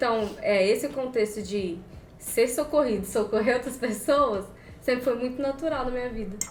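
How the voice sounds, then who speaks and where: A woman speaks at a moderate pace with a high pitch and ordinary pitch variation, and audible room echo surrounds her voice. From Espírito Santo, Brazil. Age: 20s. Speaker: podcast guest. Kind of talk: casual chat.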